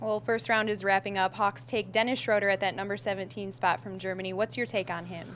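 Talking very fast with hardly any pauses, a woman uses lively intonation and vocal fry over light background noise. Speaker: team video host / interviewer. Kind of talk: sports interview host. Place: studio. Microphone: handheld.

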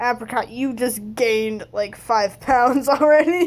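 At a fairly high pitch for a woman, she speaks at a very slow pace with ordinary pitch variation. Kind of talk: casual gameplay commentary.

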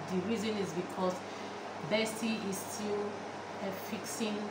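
Speech comes at a fairly slow pace over loud background noise. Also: woman. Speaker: home cook vlogger. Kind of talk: casual vlog chat. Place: kitchen.

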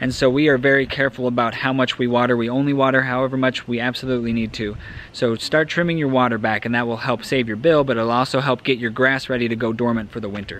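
This man speaks very fast with hardly any pauses and fairly even intonation, and the sound is dry with no echo. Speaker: homeowner vlogger. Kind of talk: tutorial. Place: garden. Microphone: phone near.

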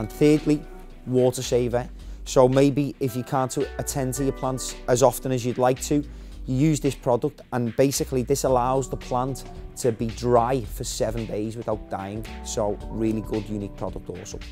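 A man speaks at a moderate pace. Faint music plays in the background. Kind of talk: product demonstration. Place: shop.

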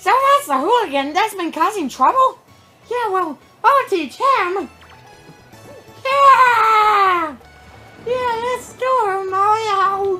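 An extremely high-pitched, put-on character voice at a very slow pace, with faint music behind it. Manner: eager, excited.

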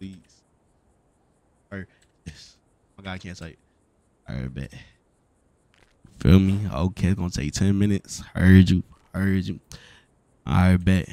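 A man with an American accent speaks at a moderate pace in a very deep, low voice with a dark, mellow tone. His loudness swings widely, and he leaves long, frequent pauses. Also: ordinary pitch variation. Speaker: gaming streamer doing roleplay. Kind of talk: in-game roleplay chat. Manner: casual, slangy.

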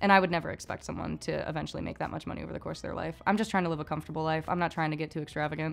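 With vocal fry and a very deep, low pitch, a woman talks at a very fast pace with hardly any pauses and monotone, flat intonation. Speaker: interviewee. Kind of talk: casual group discussion. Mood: relaxed, thoughtful.

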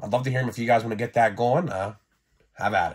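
Recorded very cleanly against a silent background, a man speaks at a medium pitch with a somewhat breathy quality. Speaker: toy collector YouTuber. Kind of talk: casual monologue video. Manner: casual, energetic.

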